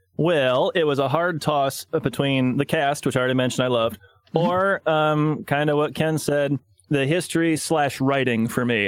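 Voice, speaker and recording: Ordinary pitch variation runs through a plain, everyday voice. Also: man. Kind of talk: casual podcast roundtable about a movie.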